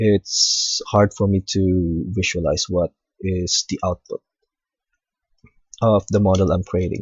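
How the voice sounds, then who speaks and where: Speaking very slowly with long, frequent pauses, a man with a non-native accent has a very deep, low, somewhat breathy voice. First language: not English. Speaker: hobbyist 3D modeling tutorial maker. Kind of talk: tutorial. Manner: hesitant, frequent fillers.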